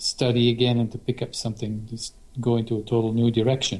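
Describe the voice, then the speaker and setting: Somewhat breathy and dark, mellow in tone, a man with a non-native accent speaks at a medium pitch and moderate pace. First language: not English. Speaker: guitarist. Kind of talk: casual interview.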